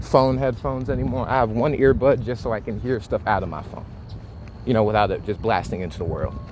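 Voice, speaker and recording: Against noticeable background noise, a man talks at a fairly quick pace in a medium pitch with ordinary pitch variation. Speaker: vlogger and musician. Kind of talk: casual walking vlog. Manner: halting, repeats words.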